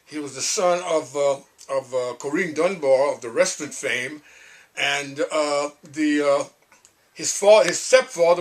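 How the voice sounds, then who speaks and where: A fairly high-pitched man talks with noticeable background noise around him. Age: 80s+. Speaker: singer-songwriter. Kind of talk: interview storytelling. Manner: hesitant, halting.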